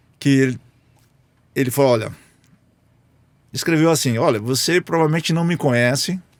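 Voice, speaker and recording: The speech moves at a moderate pace with very even loudness, ordinary pitch variation, and long, frequent pauses. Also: man, fairly high pitch for a man. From Brazil, interior of São Paulo state (Lins). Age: 60s. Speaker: business executive. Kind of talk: interview conversation.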